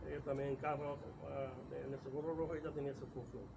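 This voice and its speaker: A man's fairly high voice with noticeable background noise and audible room echo. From Córdoba, Andalusia, Spain. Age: 70s. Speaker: oral history interviewee. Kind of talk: oral history interview. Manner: halting.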